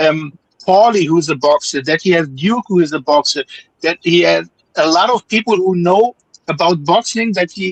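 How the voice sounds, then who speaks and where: A man with a non-native accent speaks at a high pitch and moderate pace, with ordinary pitch variation and a dry, close sound with no echo. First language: not English. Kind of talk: casual chat. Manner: halting.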